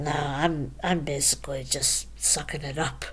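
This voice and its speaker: Speech comes at a very slow pace. Noticeable background noise and audible room echo fill the recording. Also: woman. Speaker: vlogger. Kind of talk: personal vlog monologue. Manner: halting, stuttering.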